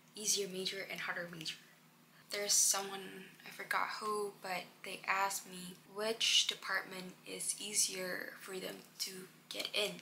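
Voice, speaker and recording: Noticeable background noise fills the clip. A woman with a medium pitch speaks at a fairly slow pace in a monotone, flat intonation. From Indonesia. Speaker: international student, vlogger. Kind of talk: casual Q&A vlog. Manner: casual, halting.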